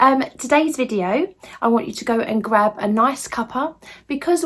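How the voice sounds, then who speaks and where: A high-pitched woman in an English accent talks at a moderate pace with very wide pitch swings. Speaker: lifestyle vlogger. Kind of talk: casual vlog chat. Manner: chatty, hesitant fillers.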